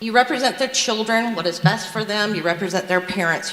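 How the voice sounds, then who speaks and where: A woman with a Southern US accent speaks with ordinary pitch variation against noticeable background noise. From US South, South Carolina. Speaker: nurse, public commenter. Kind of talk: public comment at school board meeting.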